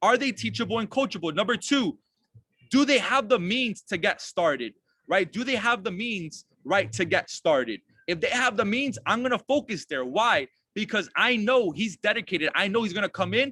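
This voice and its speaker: A man's raised, projected voice, high in pitch and bright and sharp in tone, with lively intonation at a moderate pace, in a dry, close recording with no echo. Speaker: network marketing team leader. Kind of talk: online team training call. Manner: energetic.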